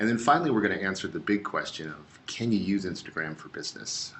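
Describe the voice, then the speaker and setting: A man talks rather fast, and his pitch rises and falls in a normal way. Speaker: social media presenter. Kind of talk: webinar presentation. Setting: online webinar. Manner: animated.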